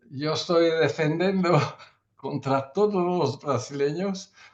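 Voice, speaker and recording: With a non-native accent, a man talks using ordinary pitch variation. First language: not Spanish (speaking Spanish). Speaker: surgeon. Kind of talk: panel discussion. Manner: halting, many fillers and restarts.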